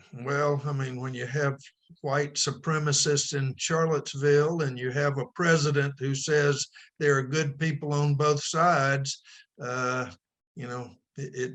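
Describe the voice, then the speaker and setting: Speaking at a fairly slow pace in an Alabama accent, the man has a fairly high pitch and a monotone, flat intonation. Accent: Southern US (Alabama). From US South, Alabama. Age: 70s. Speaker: book club member. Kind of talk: book club discussion.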